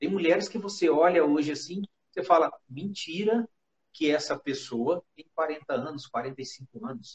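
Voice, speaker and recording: At a fairly slow pace, a man speaks in an ordinary speaking voice with ordinary pitch variation. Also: fairly high pitch for a man, big swings in loudness. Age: 50s. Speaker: live stream host. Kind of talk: casual chat. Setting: online live stream with video call guest.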